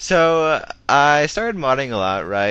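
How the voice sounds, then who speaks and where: A man's bright, sharp tone moves through very wide pitch swings. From United States, French-speaking home. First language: French. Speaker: gaming commentator. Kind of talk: gameplay commentary. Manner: casual with many fillers.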